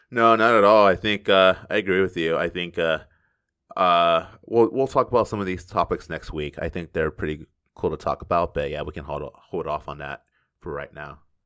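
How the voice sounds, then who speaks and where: Over a quiet background, a man with an American accent talks at a moderate pace in a very deep, low voice with a bright, sharp tone and ordinary pitch variation. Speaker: podcast host. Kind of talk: casual chat.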